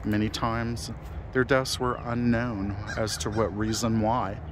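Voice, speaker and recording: At a very slow pace, a man speaks in a dry sound with no echo, though noticeable background noise is present. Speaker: cemetery ghost-hunting vlogger. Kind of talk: narrated walk-through commentary. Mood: solemn, slow and measured. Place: open country. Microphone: phone near.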